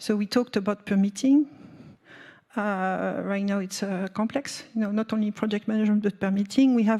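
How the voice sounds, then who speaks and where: Speaking fairly quickly in a French accent, a woman has a medium pitch, a dark, mellow tone and fairly even intonation. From France. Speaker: nuclear industry representative. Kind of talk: panel discussion. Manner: halting, many fillers.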